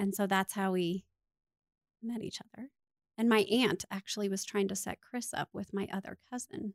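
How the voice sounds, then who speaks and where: An unremarkable speaking voice with an American accent, fairly even intonation and a moderate pace, in a dry, close sound with no echo. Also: woman, medium pitch for a woman. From Colorado, US (Littleton). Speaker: pastor's wife. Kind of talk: casual interview.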